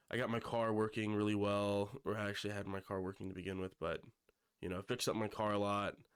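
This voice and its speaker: Delivered at a moderate pace in a monotone, flat intonation, the speech sits in a very clean recording with a silent background. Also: man. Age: 20s. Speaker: YouTuber. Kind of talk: casual personal vlog. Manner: hesitant, many fillers.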